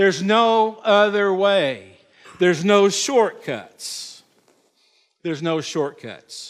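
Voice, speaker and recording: The speaker talks very slowly, with long, frequent pauses. Pitch variation is ordinary. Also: man, high pitch for a man. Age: 60s. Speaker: pastor. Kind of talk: sermon. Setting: church.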